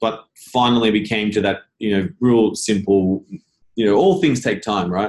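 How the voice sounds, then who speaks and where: A man's fairly low voice with an Australian accent, ordinary pitch variation and a moderate pace. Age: 40s. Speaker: business founder. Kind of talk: interview.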